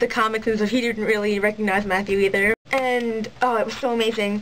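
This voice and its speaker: Over noticeable background noise, a woman talks fairly quickly in a monotone, flat way at a fairly high pitch. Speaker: cosplayer. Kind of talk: casual vlog talk to camera. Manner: ranty, fast.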